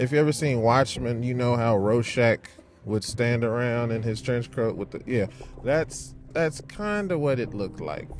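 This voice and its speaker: A man's medium-pitched voice with ordinary pitch variation, over noticeable background noise. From Chicago, US. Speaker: podcaster. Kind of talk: casual chat, then hushed ghost story telling. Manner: animated, conversational, jokey; hushed, suspenseful, slow pacing for ghost story.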